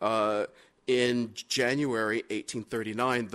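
A man speaks at a medium pitch. The recording is very clean, with a silent background. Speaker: lecturer in history and philosophy of biology. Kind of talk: lecture. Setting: stage with audience. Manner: lively.

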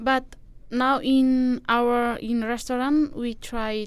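At a very slow pace, a woman speaks in a high pitch. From East Timor. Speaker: chef. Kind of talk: interview. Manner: halting.

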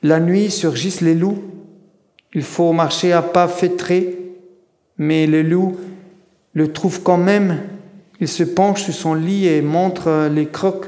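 In an Italian accent, a man speaks very slowly at a high pitch with monotone, flat intonation, very even loudness, long, frequent pauses and audible room echo. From German-speaking Switzerland, Graubünden, Italian immigrant family. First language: Italian (speaking French). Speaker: novelist and lecturer. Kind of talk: public literary discussion; reading aloud from his novel. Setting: stage with audience. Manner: halting, repeats words.

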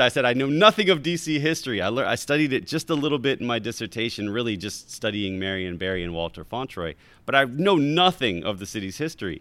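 A man at a fairly quick pace, his pitch swinging very widely. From Baltimore. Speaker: history professor and author. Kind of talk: live talk with audience.

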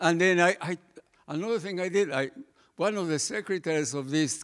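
A man with a Spanish accent and lively intonation. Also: very clean recording, silent background. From Mexico. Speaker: pastor. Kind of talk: sermon.

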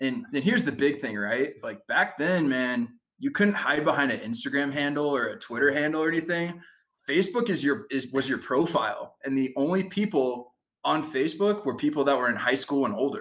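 A man with a plain, everyday voice, fairly high in pitch, at a fairly quick pace with lively intonation. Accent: American. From US Midwest (Ohio, Kansas City). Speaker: former online group admin. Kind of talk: casual chat.

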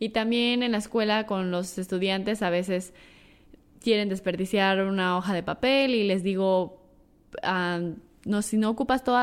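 A woman speaks with a central Mexican accent in a very clean recording with a silent background. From central Mexico, near Mexico City. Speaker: secondary school teacher. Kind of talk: radio roundtable discussion. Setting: radio studio.

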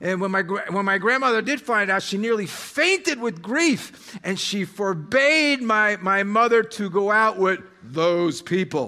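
A raised, projected male voice, high-pitched for a man, at a fairly slow pace with hardly any pauses and lively intonation. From United States, Serbian-American family. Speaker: pastor. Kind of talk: sermon.

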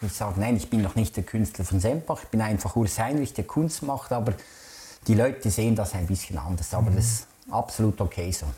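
The voice has a dark, mellow tone and sounds somewhat breathy. It keeps a moderate pace with ordinary pitch variation. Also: man. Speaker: artist. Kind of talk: interview. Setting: artist's studio.

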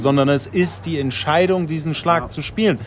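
A man talks fairly quickly, his pitch varying in an ordinary way, while noticeable noise sits behind him. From Bavaria. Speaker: sports TV reporter. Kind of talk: casual chat. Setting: on site at a tennis tournament.

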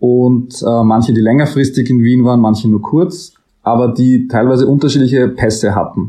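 Speaking at a moderate pace, the man has a medium pitch, a dark, mellow tone, very even loudness and fairly even intonation. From Austria, Styria. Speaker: author. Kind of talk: interview.

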